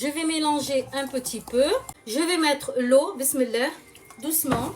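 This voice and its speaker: Loud and animated, the voice has lively intonation and a fairly slow pace, with noticeable noise behind it. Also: woman. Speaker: cooking video host. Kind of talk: cooking tutorial, live.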